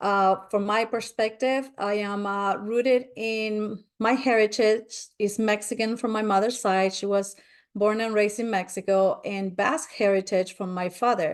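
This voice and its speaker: Against a quiet background, a woman with a fairly high pitch speaks at a fairly slow pace. Her intonation is fairly even, and she takes hardly any pauses. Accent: Spanish. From Spain. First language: Spanish. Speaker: spiritual nature speaker. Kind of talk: webinar presentation.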